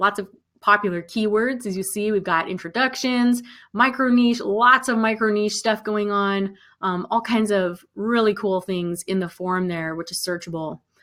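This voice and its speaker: A woman's bright, sharp tone, with ordinary pitch variation. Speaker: online music business coach. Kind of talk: live webinar sales pitch. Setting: live stream. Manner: fast.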